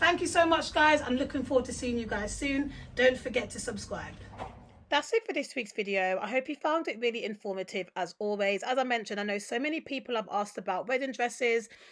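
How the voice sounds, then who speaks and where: Talking at a fairly quick pace, a woman with a London accent has a high pitch and lively intonation. Her tone is animated. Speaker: travel and wholesale vlogger. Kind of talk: vlog walkthrough.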